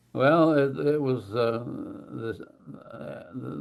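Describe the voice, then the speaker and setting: A man speaks with an Oklahoma accent. His pitch sits in the medium range and varies in an ordinary way. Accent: Southern US, Oklahoma. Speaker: war veteran. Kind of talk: interview answer.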